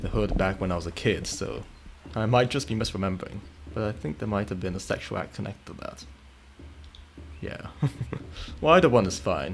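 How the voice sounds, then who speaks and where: Fairly low in pitch, a man with vocal fry and lively intonation talks at a fairly quick pace, taking long, frequent pauses. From Italy. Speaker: video game streamer. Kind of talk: casual chat while live-streaming gameplay. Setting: live stream.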